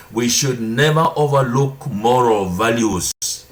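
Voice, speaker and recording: Audible room echo surrounds the speaker. A man talks at a very slow pace. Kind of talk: sermon-style teaching. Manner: deliberate.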